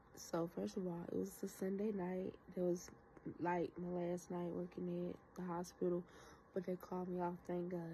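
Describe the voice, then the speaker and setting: A dark, mellow, somewhat breathy voice at a moderate pace, in a flat monotone. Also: woman, fairly low pitch for a woman. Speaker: vlogger. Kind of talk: casual chat. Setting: at home.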